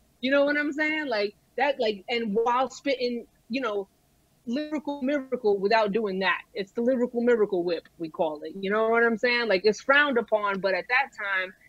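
Music plays in the background as a woman with a Brooklyn accent speaks at a moderate pace, her fairly high pitch showing ordinary pitch variation. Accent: Brooklyn New York. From Brooklyn, New York (Brighton Beach). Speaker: rapper. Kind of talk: casual chat. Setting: remote call over phone hotspot. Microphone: mobile hotspot connection.

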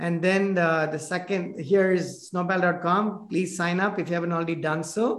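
A man with an Indian accent talks at a moderate pace with hardly any pauses. His pitch is high and his intonation monotone and flat. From South India (Chennai). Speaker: podcast host, business owner. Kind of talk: casual interview. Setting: video call. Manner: halting.

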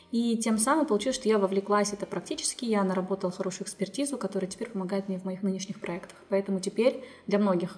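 Amid noticeable background noise, a woman speaks very fast at a medium pitch with fairly even intonation. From Kazakhstan, Zhezkazgan. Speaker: inclusive education center founder. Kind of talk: interview.

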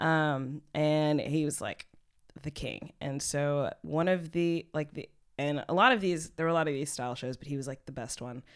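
A woman with a Texan accent speaks at a moderate pace in a very deep, low voice with ordinary pitch variation. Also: big swings in loudness, very clean recording, silent background. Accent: Texan American. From US, Houston, Texas. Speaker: poet, spoken word artist. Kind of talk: casual chat.

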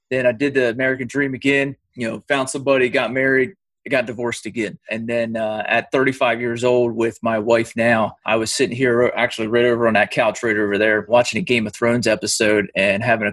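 A man talks at a fairly quick pace with hardly any pauses, in an unremarkable speaking voice of medium pitch and ordinary pitch variation. The sound is dry and close, with no echo. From Pennsylvania, US. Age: 30s. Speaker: teacher. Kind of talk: casual chat.

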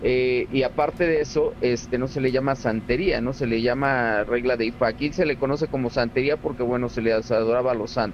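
A man speaks at a medium pitch and a moderate pace. Background noise is noticeable. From Cuba, Havana. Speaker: Cuban santería practitioner. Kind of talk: interview.

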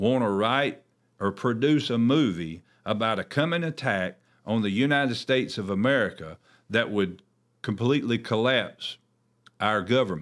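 An ordinary speaking voice from a man, medium in pitch, with lively intonation at a moderate pace, on a very clean recording with a silent background. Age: 40s. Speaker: pastor hosting a church podcast. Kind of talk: religious commentary podcast. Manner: conversational with frequent fillers and repetitions.

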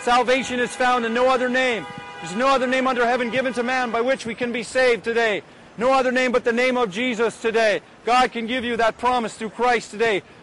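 Amid noticeable background noise, a man with an extremely high pitch speaks with fairly even intonation. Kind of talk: scripted narration.

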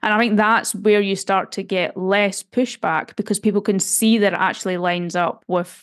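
A woman speaks in a plain, everyday voice at medium pitch and a moderate pace, her intonation fairly even, on a very clean recording with a silent background. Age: 30s. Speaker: data scientist and author. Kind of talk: interview.

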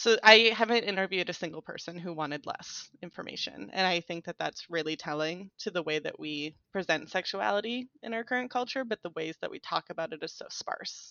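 In a plain, everyday voice, a woman with an American accent and medium pitch talks at a fairly quick pace with hardly any pauses, lively intonation and big swings in loudness. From US, conservative small town. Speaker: sex education researcher. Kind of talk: casual interview chat.

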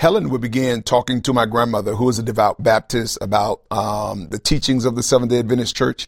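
In a plain, everyday voice with an American accent, a man of medium pitch talks at a fairly quick pace with ordinary pitch variation and hardly any pauses, the sound dry and close with no echo. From US South (Tallahassee, Florida). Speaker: pastor. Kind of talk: interview conversation.

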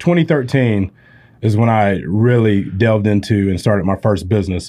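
A fairly low-pitched man with a Southern US accent and ordinary pitch variation. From Spartanburg, South Carolina. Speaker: medical supply company CEO. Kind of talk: interview podcast. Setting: studio.

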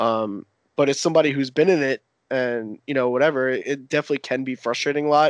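Very fast speech with an American accent and fairly even intonation, dry and close with no echo against a quiet background. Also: man, fairly high pitch for a man. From US Northeast. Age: 20s. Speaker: competitive video game player. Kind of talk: casual chat.

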